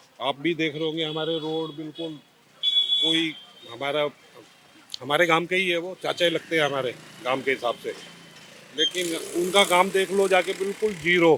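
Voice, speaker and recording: A man speaks with long, frequent pauses in a fairly high pitch. His pitch varies in an ordinary way over noticeable background noise. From Delhi, Khairpur village. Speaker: local resident interviewed. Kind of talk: street interview. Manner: emphatic.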